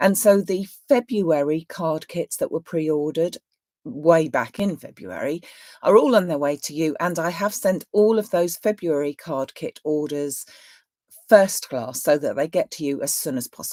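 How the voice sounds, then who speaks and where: A woman with a British accent speaks at a moderate pace and fairly low pitch, using lively intonation and big swings in loudness, her dark, mellow tone captured in a dry, close sound with no echo on a very clean recording with a silent background. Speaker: craft shop owner. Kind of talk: live stream chat. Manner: chatty.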